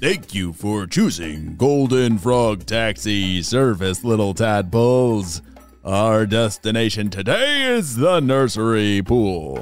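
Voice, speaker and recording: Using a put-on character voice, a man talks at a fairly slow pace and fairly low pitch, with faint music in the background. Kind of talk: fancy, formal announcer voice. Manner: polite, careful.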